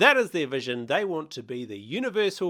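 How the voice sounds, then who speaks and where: With a New Zealand accent, a man speaks at a high pitch in a bright, sharp tone, his pitch swinging very widely. The pace is moderate, and the recording is very clean with a silent background. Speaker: crypto explainer presenter.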